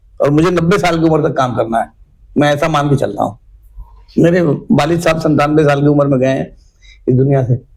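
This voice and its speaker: A somewhat breathy man with a fairly high pitch and ordinary pitch variation speaks at very even loudness, with long, frequent pauses. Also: moderate pace. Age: 60s. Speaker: local politician. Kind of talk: interview.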